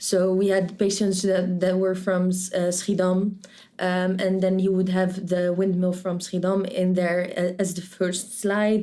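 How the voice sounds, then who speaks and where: The woman's medium-pitched voice has a dark, mellow tone and moves at a moderate pace. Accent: Dutch. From Netherlands, Rotterdam. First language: Dutch. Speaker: medical student. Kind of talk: interview. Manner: halting, many restarts.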